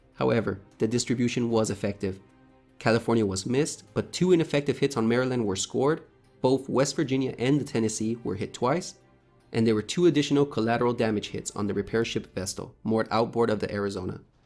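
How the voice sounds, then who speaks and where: The delivery comes at a very fast pace with ordinary pitch variation. Music plays in the background. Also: man, medium pitch for a man. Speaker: history video narrator. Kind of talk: history documentary narration.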